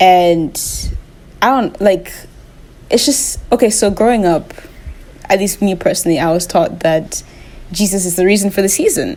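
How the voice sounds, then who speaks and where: There is noticeable background noise as the woman speaks. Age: 20s. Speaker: vlogger. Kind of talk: casual vlog monologue. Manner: halting, many fillers.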